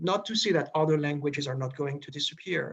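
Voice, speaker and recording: Speaking with a Quebec accent, a man has a bright, sharp tone. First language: French. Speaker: diplomat. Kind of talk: presentation Q&A. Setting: video call.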